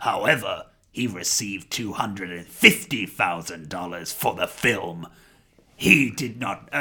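A raspy, put-on character voice from a man. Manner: sanctimonious, outraged reading-aloud tone.

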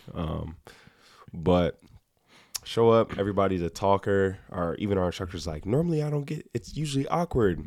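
A man talks at a moderate pace. He has a normal speaking voice. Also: fairly low pitch for a man, lively intonation. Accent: American. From Ohio, Cleveland area. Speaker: Air Force training instructor. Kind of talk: casual chat.

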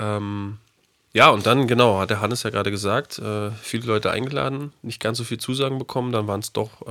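A man talks at a fairly quick pace. His tone is bright and sharp, with ordinary pitch variation. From Berlin. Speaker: podcast co-host. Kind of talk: casual chat.

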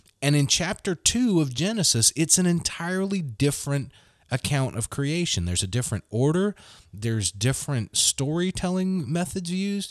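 Someone with a Southern US accent speaks with very wide pitch swings in a dry, close sound with no echo. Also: man, fairly high pitch for a man, moderate pace. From US South, Mississippi Gulf Coast. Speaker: Episcopal clergy. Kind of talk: casual chat.

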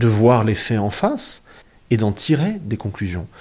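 A man speaks very slowly and somewhat breathily, with very wide pitch swings. The recording is very clean with a silent background. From southern France. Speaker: historian. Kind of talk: interview. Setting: dining room table at home.

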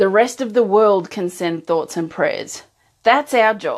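Speaking with an Australian accent, a woman keeps a medium pitch and ordinary pitch variation. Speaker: emotional strength coach. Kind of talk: live-streamed talk to viewers. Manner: casual, with frequent laughs and fillers.

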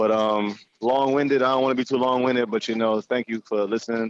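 With a Jamaican accent, a man speaks at a very fast pace with hardly any pauses, monotone, flat intonation and very even loudness, in a dry, close sound with no echo. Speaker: entrepreneur. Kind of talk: interview.

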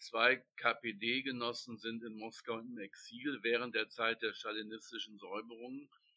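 A man's bright, sharp tone at medium pitch, fairly slow and monotone, with hardly any pauses and big swings in loudness. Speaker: book editor and literary society chairman. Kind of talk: interview.

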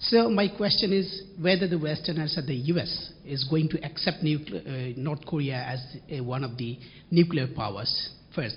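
Against noticeable background noise, a man with a fairly high pitch and lively intonation talks at a moderate pace. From Bangladesh. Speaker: journalism fellow. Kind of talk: audience question.

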